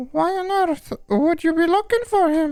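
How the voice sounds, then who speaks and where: A man puts on a squeaky character voice, pitched extremely high, and talks at a moderate pace. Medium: game stream. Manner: warm, caring.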